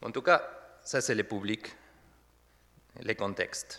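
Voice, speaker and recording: A man speaks with an Argentine accent. The recording is very clean, with a silent background. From Argentina. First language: Spanish (speaking French). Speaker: pastor. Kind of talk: sermon. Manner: halting.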